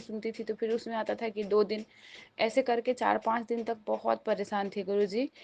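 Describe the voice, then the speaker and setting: The speaker is a woman with a fairly high pitch. The sound is dry and close, with no echo. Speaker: devotee sharing testimony. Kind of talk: testimony.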